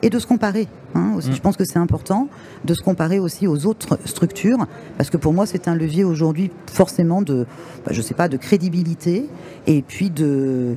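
A woman's fairly low voice at a moderate pace, lively in intonation, with long, frequent pauses and noticeable background noise. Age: 50s. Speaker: director of business schools. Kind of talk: interview. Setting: trade fair radio stand.

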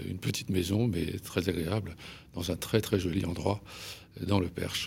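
A man's very deep, low voice comes out somewhat breathy, at a moderate pace with fairly even intonation. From Paris, France. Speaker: journalist and essayist. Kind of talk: radio interview. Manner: halting, many hesitations.

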